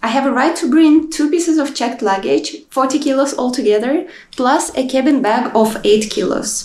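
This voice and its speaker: A woman with a high pitch talks at a moderate pace, using ordinary pitch variation. Noticeable background noise and audible room echo fill the recording. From Kazakhstan. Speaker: cruise ship crew member vlogger. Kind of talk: vlog narration.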